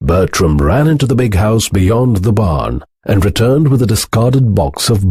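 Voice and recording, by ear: Here someone is reading aloud in a natural voice.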